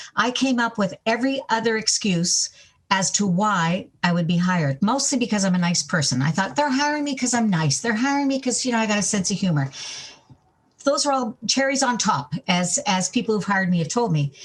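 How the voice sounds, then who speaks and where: At a fairly quick pace, the somewhat breathy voice keeps a very even loudness while its pitch swings very widely. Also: woman, medium pitch for a woman. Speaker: stadium sports announcer. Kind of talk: interview.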